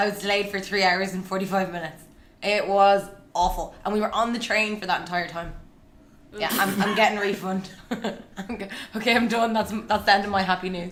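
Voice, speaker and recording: In an Irish accent, a woman talks at a fairly quick pace and a medium pitch. Her intonation is monotone and flat, with audible room echo. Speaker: podcast co-host. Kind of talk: casual chat. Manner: loud.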